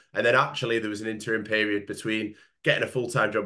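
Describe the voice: A man talks fast at a fairly low pitch, with little pitch movement. His voice is nasal, with a bright, sharp tone.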